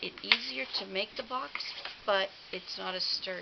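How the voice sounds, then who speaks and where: A woman takes a fairly slow pace, with noticeable background noise behind her. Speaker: paper crafting demonstrator. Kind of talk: tutorial. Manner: halting, many fillers.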